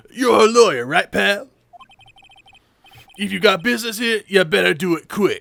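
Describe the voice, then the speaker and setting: Putting on a character voice, a man speaks at a high, gruff pitch and a moderate pace, with lively intonation and long, frequent pauses. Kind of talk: comic overacting. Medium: game stream. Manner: gruff, blustery, says pal.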